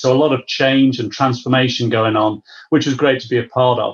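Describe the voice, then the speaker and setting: Using monotone, flat intonation, a man with a British accent speaks at a medium pitch. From UK. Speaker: business services executive. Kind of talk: interview.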